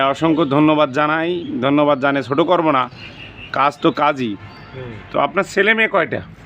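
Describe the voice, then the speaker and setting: Against noticeable background noise, a man with a fairly high pitch keeps his loudness very even and his pitch variation ordinary. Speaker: video blogger interviewing a local elder. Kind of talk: street interview and address to viewers.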